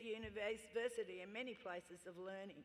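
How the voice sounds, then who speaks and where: With an Australian accent, a woman speaks at medium pitch with ordinary pitch variation. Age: 70s. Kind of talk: acceptance speech. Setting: stage with audience at graduation ceremony.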